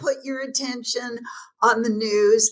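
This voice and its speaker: A woman's animated tone with ordinary pitch variation. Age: 70s. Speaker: transformation teacher and author. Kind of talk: podcast interview.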